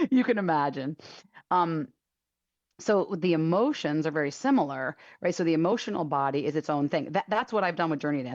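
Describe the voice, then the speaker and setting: With a very deep, low pitch, a woman speaks in lively intonation. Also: quiet background. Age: 50s. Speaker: author and dance teacher. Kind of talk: radio interview. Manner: fast; animated.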